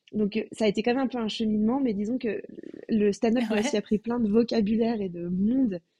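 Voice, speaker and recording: Her voice is fairly high in pitch yet dark and mellow in tone, somewhat breathy, with fairly even intonation at a fairly quick pace, in a dry, close sound with no echo. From France. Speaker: comedian. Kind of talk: casual interview.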